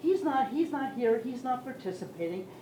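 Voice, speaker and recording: A woman speaks at a moderate pace with very wide pitch swings, with audible room echo and noticeable background noise. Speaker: member of the public at a town meeting. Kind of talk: public comment at a town meeting. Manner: loud and boisterous; animated, halting with restarts.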